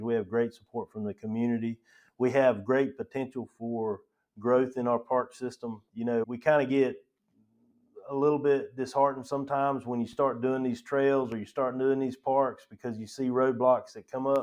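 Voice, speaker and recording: A man with a North Carolina accent, medium pitch, monotone, flat intonation and moderate pace. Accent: local North Carolina. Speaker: county parks director. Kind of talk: podcast interview.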